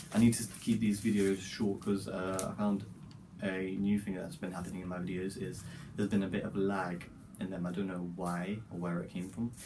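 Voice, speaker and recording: With audible room echo, a man with a very deep, low pitch and a dark, mellow tone talks at a fairly quick pace. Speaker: vlogger, university student. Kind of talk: casual vlog talk.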